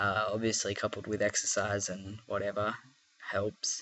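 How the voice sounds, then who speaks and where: With an Australian accent, a man speaks at a very slow pace. His pitch sits fairly low. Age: 20s. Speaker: vlogger. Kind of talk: casual vlog. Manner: hesitant, many fillers.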